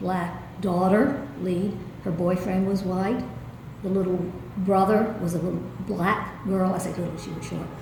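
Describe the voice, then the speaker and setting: With an American accent, a woman talks in a monotone with flat intonation, over noticeable background noise and audible room echo. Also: medium pitch for a woman. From US South. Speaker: theatre director. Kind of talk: interview.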